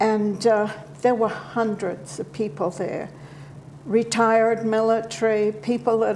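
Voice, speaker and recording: Over noticeable background noise, a woman with a New Zealand accent speaks fairly slowly. Her pitch is fairly high for a woman, with ordinary variation. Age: 70s. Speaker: interview guest. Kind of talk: TV interview.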